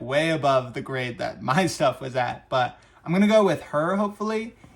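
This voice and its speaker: A normal speaking voice from a man, delivered at a moderate pace. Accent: American. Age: 20s. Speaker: vlogger. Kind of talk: casual monologue. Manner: casual, conversational.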